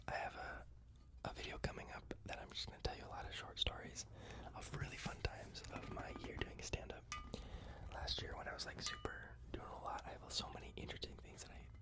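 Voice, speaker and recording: Someone whispers at a very fast pace. Noticeable background noise sits behind the voice. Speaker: ASMR content creator who does stand-up comedy. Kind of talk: close-up whispered ASMR rambling for sleep. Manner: whispered, soft, intimate.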